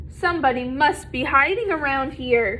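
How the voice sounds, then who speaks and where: A woman uses a raspy, high-pitched put-on character voice at a moderate pace, with clear background noise behind her. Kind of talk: bedtime story. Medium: read story.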